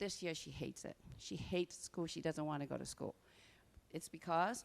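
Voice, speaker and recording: The voice carries vocal fry, moving at a moderate pace with ordinary pitch variation. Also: woman, fairly low pitch for a woman. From Burma. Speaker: parent speaking at public comment. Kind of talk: public comment at board meeting.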